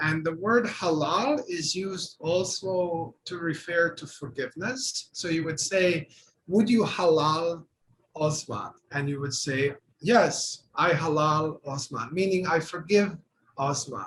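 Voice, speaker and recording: A man speaks with a Bosnian accent in a high pitch. His pace is very slow, with ordinary pitch variation. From Bosnia and Herzegovina. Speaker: artist and art professor. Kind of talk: panel discussion.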